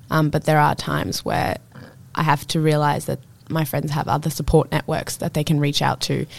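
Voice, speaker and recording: A woman speaks in a very deep, low voice with vocal fry. Her pace is moderate and her intonation fairly even. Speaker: podcast co-host. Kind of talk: casual chat.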